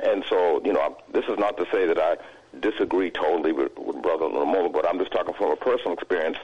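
Very fast speech from a man with an American accent, very even loudness and noticeable background noise. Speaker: caller. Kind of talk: call-in comment. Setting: phone call.

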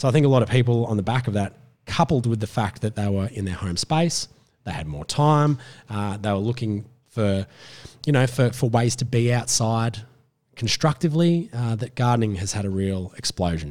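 On a very clean recording with a silent background, a man at a medium pitch uses lively intonation and a moderate pace. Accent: Australian. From Australia. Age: 30s. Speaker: gardening expert and TV presenter. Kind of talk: casual chat.

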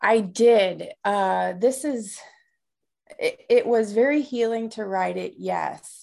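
Speaking very slowly, a woman with an American accent is heard against a quiet background. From US Midwest, south side of Chicago. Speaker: life coach, author, navy veteran. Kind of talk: interview.

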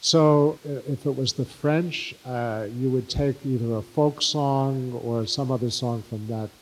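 Speaking very slowly with an American accent, a man uses a medium pitch and ordinary pitch variation. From New York City (Bronx/Brooklyn). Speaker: Yiddish singer and songwriter, filmmaker. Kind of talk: interview before live audience.

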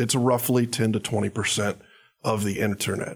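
With vocal fry and a monotone, flat intonation, a man speaks at a fairly low pitch. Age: 30s. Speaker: data analytics company executive, former college punter. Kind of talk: casual interview.

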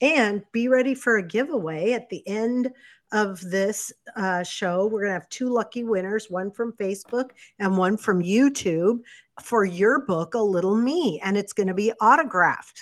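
In a very clean recording with a silent background, a woman uses an ordinary speaking voice at a medium pitch, with ordinary pitch variation and a moderate pace. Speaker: co-host reading viewer questions. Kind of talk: casual chat. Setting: live video stream.

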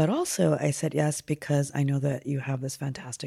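This woman's voice is very deep and low, with a dark, mellow tone. She talks at a moderate pace in monotone, flat intonation. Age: 50s. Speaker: poet. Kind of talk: casual chat. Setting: hotel room.

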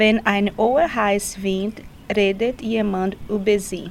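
Speaking at a very slow pace, a woman with a medium pitch talks with a Portuguese accent. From Brazil. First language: Portuguese (speaking German). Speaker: language course participant. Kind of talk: reading aloud.

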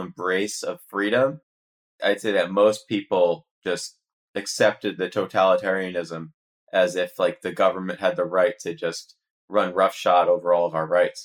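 A man's normal speaking voice, fairly low in pitch, with fairly even intonation and a moderate pace. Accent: American. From United States. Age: 30s. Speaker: investigative journalist. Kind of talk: interview.

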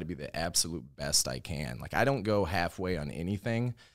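A man speaks with a Chicago accent. His pitch swings very widely. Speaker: lawn care YouTuber.

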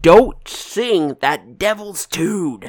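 Someone shouts in a put-on character voice at a middle pitch. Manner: yelling, scolding.

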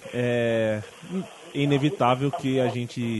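A man with a medium pitch and ordinary pitch variation talks while noticeable background noise carries on. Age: 20s. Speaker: podcast host. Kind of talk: interview.

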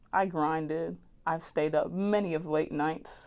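Speaking at a very slow pace, a woman talks with an American accent. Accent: Southern according to some. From New Jersey, West Orange. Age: young. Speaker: college student podcast host. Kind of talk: casual monologue. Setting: student media office. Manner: animated, laughing often.

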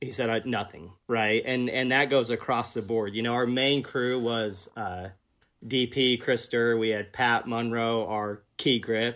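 In an unremarkable speaking voice, a man with an American accent talks at a moderate pace and a medium pitch. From Kansas City, US Midwest. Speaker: film director. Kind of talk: casual interview. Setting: video call.

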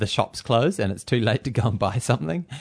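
A man with a New Zealand accent against a quiet background. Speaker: running podcast co-host and running coach. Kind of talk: casual chat.

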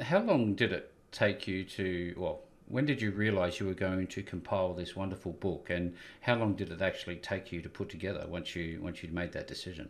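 The man's voice sits low and moves at a fairly quick pace. His pitch varies in an ordinary way.

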